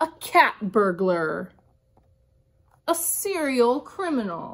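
Her voice is high-pitched and swings very widely in pitch. The woman speaks at a very slow pace. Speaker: kindergarten teacher. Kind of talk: picture book read-aloud for young children. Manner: upbeat, animated. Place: classroom. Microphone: phone near.

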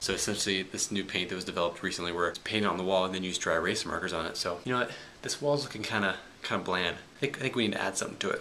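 A man talks very fast in a very deep, low voice over light background noise. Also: ordinary pitch variation. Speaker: college student vlogger. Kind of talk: casual vlog chat. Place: meeting room. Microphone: phone near.

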